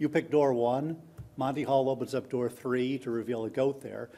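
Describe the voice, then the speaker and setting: A man speaks at medium pitch with a dark, mellow tone. His pace is fairly quick. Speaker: conference speaker on online learning. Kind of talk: conference talk. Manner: fast; hesitant, many fillers and repeats.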